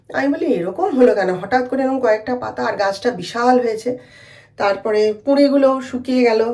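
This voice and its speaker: Over noticeable background noise and audible room echo, a woman with a high pitch speaks with lively intonation. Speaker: lifestyle vlogger. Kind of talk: casual vlog talk. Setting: at home. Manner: halting.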